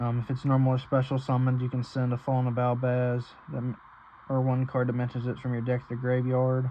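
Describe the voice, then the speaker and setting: The man talks at a very fast pace in a medium pitch. His intonation is monotone and flat. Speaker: card game youtuber. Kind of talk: deck profile tutorial. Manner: stuttering, halting; fast, rushed.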